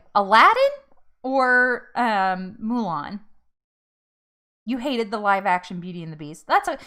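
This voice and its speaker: A woman's animated, bright and sharp voice at a moderate pace, on a very clean recording with a silent background. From North Jersey, US. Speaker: weight loss vlogger. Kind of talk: casual livestream chat. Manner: animated, many fillers.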